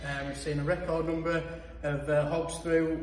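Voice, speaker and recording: Against noticeable background noise, a man with a fairly high pitch talks at a moderate pace in a monotone, flat intonation. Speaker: livestock auctioneer. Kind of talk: trade update talk to camera. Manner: conversational, hesitant.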